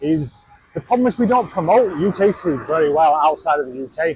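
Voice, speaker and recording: Over noticeable background noise, a man talks at a moderate pace with very wide swings in pitch. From Yorkshire, England. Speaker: travel vlogger. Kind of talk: casual vlog talk. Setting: out and about walking. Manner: casual with many fillers.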